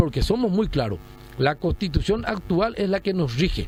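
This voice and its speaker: A man's voice sits high for his sex, rising and falling with ordinary pitch variation. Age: 60s. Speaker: retired general, presidential pre-candidate. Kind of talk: radio interview. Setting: radio studio.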